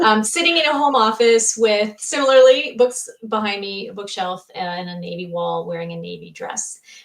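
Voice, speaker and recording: In a plain, everyday voice, a woman talks at a moderate pace with lively intonation and big swings in loudness. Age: 40s. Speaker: co-host and comment moderator. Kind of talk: live online show, casual discussion. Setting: home office, video stream.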